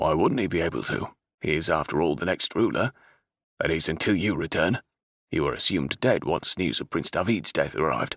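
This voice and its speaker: Using a gruff put-on character voice with a very deep, low pitch, a man talks at a fairly quick pace in a dry, close sound with no echo. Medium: read story. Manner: gruff, growling.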